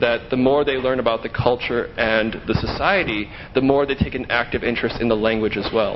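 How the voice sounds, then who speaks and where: Over noticeable background noise, a man talks at a fairly quick pace with medium pitch and fairly even intonation. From United States. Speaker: English teaching assistant. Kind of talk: interview.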